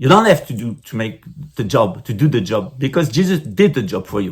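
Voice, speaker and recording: Here is a man with a French accent. His voice is somewhat breathy. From France. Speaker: spiritual teacher. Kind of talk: lecture. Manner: halting.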